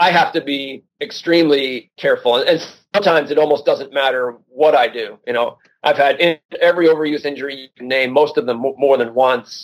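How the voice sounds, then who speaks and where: A man with a normal speaking voice talks at a fairly high pitch and a moderate pace, with ordinary pitch variation. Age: 40s. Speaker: endurance sports journalist and author. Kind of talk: interview.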